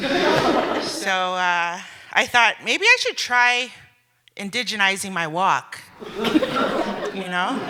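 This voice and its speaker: Speaking very slowly, the woman's voice sits at a medium pitch. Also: lively intonation. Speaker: stand-up comedian. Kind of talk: stand-up comedy set to a live audience. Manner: sassy, humorous.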